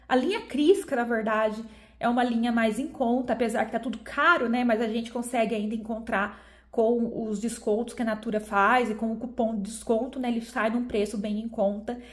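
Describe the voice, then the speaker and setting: Audible room echo surrounds a woman speaking at a moderate pace with a fairly high pitch. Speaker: beauty YouTuber. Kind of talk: product review. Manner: animated.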